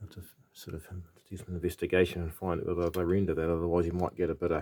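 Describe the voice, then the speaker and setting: Very deep and low in pitch, a man speaks in a dark, mellow tone with monotone, flat intonation over a silent background in a very clean recording. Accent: New Zealand. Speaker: vintage electronics hobbyist. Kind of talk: tutorial. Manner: halting; casual.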